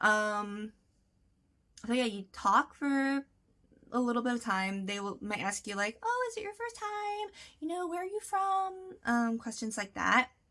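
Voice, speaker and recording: A woman speaks loudly in a high, bright, sharp voice, fairly slowly, with very wide pitch swings and long, frequent pauses. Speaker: vlogger. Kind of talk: casual tutorial vlog. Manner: chatty, many fillers.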